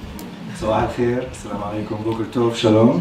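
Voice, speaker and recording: Against noticeable background noise and audible room echo, a man talks at a medium pitch with ordinary pitch variation. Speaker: academic speaker on a panel. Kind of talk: conference talk. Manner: fast.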